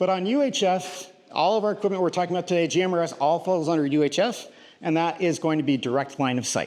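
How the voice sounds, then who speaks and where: At a very fast pace, a man talks with a high pitch and ordinary pitch variation. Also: very even loudness. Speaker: radio instructor. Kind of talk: lecture. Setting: classroom with live audience. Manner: loud.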